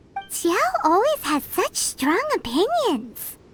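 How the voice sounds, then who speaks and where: Music plays behind a put-on character voice that is squeaky and extremely high. It moves at a fairly slow pace with very wide pitch swings. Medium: video game. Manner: chirpy, teasing.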